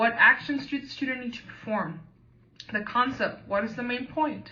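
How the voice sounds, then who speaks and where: A woman speaks with an American accent and ordinary pitch variation, and audible room echo is in the recording. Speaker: teacher and graduate student. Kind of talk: training presentation. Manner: hesitant with fillers.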